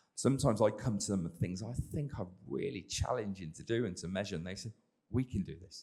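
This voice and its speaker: A man's very deep, low voice with an English accent, a fairly quick pace and lively intonation. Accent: English, self-described as dodgy. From England. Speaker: sports scientist, exercise physiologist. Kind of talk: panel discussion.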